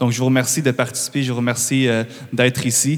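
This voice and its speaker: This is a man speaking. His pitch is medium for a man. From Quebec. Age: 20s. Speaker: guest speaker. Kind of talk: public address. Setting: church. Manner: halting.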